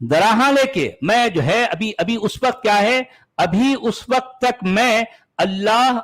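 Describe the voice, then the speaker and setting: Recorded very cleanly over a silent background, a man speaks at a high pitch with ordinary pitch variation. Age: 60s. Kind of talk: interview discussion. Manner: halting, repeats words.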